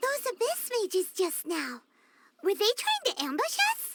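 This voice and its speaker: Squeaky and pitched extremely high, the voice is a put-on character voice. Its pace is moderate. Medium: video game. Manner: chatty, excitable.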